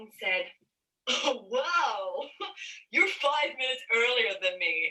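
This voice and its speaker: With an Australian accent, a woman speaks in lively intonation. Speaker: stand-up comedian. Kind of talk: stand-up. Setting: pre-recorded video.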